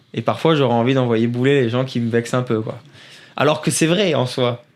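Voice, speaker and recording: Pitch varies in an ordinary way as the talking proceeds at a moderate speed. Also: man, medium pitch for a man. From northern France (Nord, Seclin). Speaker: rally driver. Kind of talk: interview. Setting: studio. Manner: halting.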